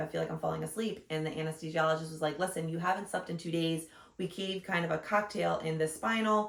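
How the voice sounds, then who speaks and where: At a very fast pace, a woman speaks with a fairly low pitch and fairly even intonation. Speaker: vlogger, new mother. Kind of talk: casual chat. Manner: loud.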